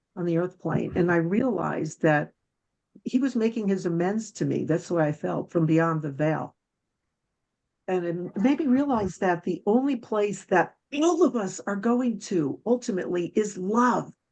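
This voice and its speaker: A woman with an ordinary speaking voice, medium pitch, lively intonation and a fairly slow pace, in a quiet background. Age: 60s. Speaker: guest speaker on spirituality and love. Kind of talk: interview testimony.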